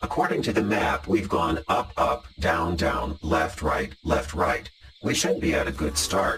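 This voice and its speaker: A man puts on a character voice pitched very deep and low, speaking at a fairly slow pace. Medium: comedy sketch. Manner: calm, practical.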